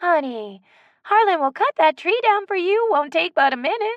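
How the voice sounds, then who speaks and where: A woman performs a put-on character voice at an extremely high pitch, swinging very widely in pitch. She keeps a moderate pace, and the sound is dry and close with no echo. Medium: read story. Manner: homey, gentle.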